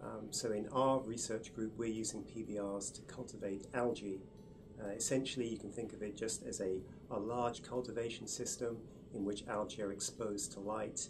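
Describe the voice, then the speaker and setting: A man with an English accent speaks at a moderate pace in a fairly low, flat monotone, with music playing behind him and audible echo in the room. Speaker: research chemist, group leader. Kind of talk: interview explanation. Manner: hesitant with fillers.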